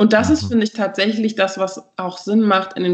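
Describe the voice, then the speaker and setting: At a fairly quick pace, a woman talks in an ordinary speaking voice. Her intonation stays fairly even. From Berlin, Germany. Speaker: anti-racism trainer, institute co-founder. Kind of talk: interview.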